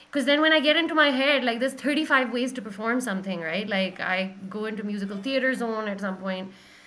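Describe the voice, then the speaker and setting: A woman talks at a fairly quick pace with hardly any pauses, her fairly high voice bright and sharp. Her intonation is lively, and the room echo is audible. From Pakistan. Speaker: singer-songwriter. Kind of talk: casual chat.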